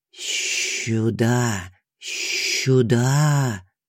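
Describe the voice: A man puts on a character voice at a medium pitch. Hissing runs through his speech.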